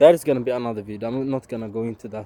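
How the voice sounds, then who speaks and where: In a dry, close sound with no echo, a man speaks with a dark, mellow tone and ordinary pitch variation. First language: not English. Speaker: YouTuber. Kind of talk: casual vlog monologue. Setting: outdoors, walking in forest. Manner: halting, stumbles on words.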